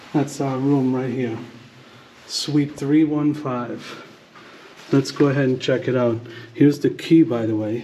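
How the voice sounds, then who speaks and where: Long, frequent pauses break up a man's fairly slow speech, delivered at a fairly high pitch with audible room echo. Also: fairly even intonation. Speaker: travel vlogger. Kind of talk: hotel room tour vlog. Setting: hotel hallway and room. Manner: casual, chatty.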